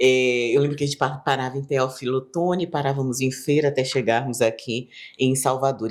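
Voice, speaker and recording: A woman's very deep, low pitch at a moderate pace. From São Paulo, Brazil. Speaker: journalist and communicator. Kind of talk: casual chat.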